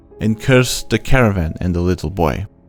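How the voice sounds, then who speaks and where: Over music in the background, a man with a non-native accent speaks at a moderate pace in a fairly low pitch with ordinary pitch variation. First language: not English. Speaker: amateur audiobook reader. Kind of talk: horror short story audiobook reading.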